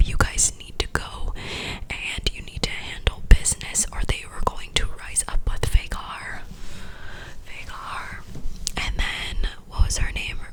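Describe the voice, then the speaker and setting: A woman's fairly slow whisper, with long, frequent pauses, big swings in loudness and noticeable background noise. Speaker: ASMR creator. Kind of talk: casual talk to camera, ASMR ramble. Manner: whispered, soft-spoken.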